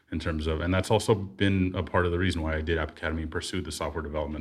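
A somewhat breathy man with a very deep, low pitch talks at a very fast pace on a very clean recording with a silent background. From San Francisco Bay Area. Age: 40s. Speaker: software engineer. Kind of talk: interview.

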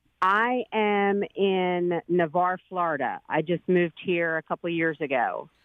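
In a slight East Coast accent, the speaker goes at a fairly slow pace with hardly any pauses and ordinary pitch variation. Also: woman, fairly low pitch for a woman, very even loudness. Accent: slight New England-like East Coast. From Philadelphia. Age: 50s. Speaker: caller. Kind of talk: casual chat.

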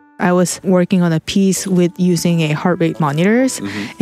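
Music plays in the background. A woman speaks at a moderate pace in a fairly low pitch with fairly even intonation. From South Korea. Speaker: artist. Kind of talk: interview.

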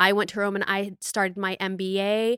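A woman speaks with an animated tone at a medium pitch. The sound is dry and close, with no echo. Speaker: fitness influencer and podcast host. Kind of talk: casual chat.

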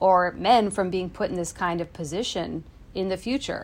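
In a normal speaking voice, a woman talks at a medium pitch and a moderate pace with ordinary pitch variation. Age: 30s. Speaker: consumer TV reporter. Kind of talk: casual podcast chat. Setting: home basement, remote.

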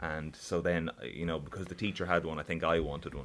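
Very clean recording, silent background. A man speaks with an Irish accent at a very deep, low pitch. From Ireland, County Carlow. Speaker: musician. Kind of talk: interview.

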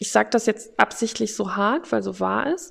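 A woman speaks at a fairly high pitch. Her pace is fairly slow. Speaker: podcast host sharing her mental health story. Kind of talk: personal testimony monologue. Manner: unscripted, with frequent filler sounds.

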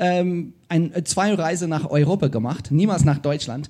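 Over a quiet background, a man with an English accent speaks in a dark, mellow tone. His pitch is fairly high, his pace fairly slow, and his pitch variation ordinary. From South Africa. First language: English (speaking German). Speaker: podcast host. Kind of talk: live podcast conversation. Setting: stage with audience.

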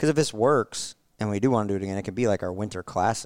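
Very fast speech with an American accent, in a very clean recording with a silent background. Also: man. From New Jersey. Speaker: racing driver and pit crew coach. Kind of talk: casual chat.

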